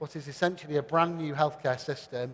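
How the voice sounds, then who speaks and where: A man's fairly high-pitched voice at a fairly quick pace, with a British accent. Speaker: panel moderator. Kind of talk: conference panel moderation. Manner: hesitant fillers.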